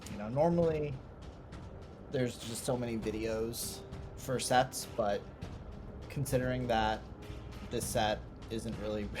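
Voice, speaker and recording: Quiet and fairly slow, the speech carries ordinary pitch variation and long, frequent pauses, with music in the background. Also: man, medium pitch for a man. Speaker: card game video creator. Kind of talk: gameplay commentary. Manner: casual, hesitant.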